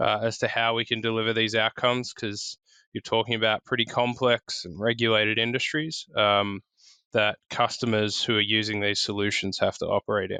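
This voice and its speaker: Bright and sharp in tone, a man with an Australian accent speaks at medium pitch and a fairly quick pace, his intonation fairly even. The sound is dry and close with no echo, over a quiet background. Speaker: tech partnerships executive. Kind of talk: podcast interview. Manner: casual, frequent filler words.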